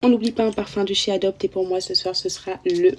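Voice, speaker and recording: A soft-spoken woman at a medium pitch, fairly quick pace and ordinary pitch variation, with music in the background. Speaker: beauty influencer. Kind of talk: skincare tutorial.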